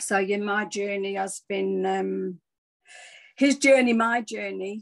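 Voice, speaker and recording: Someone with an English accent speaks at a very slow pace against a quiet background. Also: woman. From England. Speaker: former nurse, wellness speaker. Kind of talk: personal testimony talk. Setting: video call. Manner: halting, many fillers.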